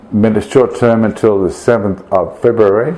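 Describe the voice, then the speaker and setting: A man speaks at a fairly slow pace in a medium pitch. Noticeable noise sits in the background. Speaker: priest recovering from a stroke. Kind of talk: video blog update. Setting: at home during Christmas dinner with friends. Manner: halting, many fillers.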